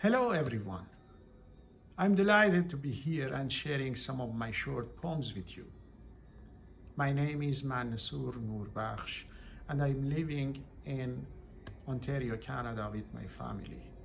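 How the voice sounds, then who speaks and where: A man with a Persian accent speaks fairly slowly at a medium pitch, leaving long, frequent pauses, and audible room echo surrounds his voice. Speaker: poet. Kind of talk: poetry reading event remarks.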